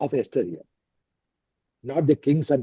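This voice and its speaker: A somewhat breathy voice with a dark, mellow tone and lively intonation. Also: man. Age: 70s. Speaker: retired civil servant, interview mentor. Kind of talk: mock interview coaching. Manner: halting.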